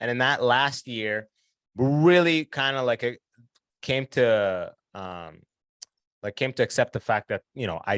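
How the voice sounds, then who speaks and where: A man with a medium-pitched, ordinary speaking voice talks at a moderate pace with lively intonation, recorded with a dry, close sound and no echo. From Canada (London, Ontario), immigrant from Sudan. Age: 30s. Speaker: comedian. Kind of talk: casual chat.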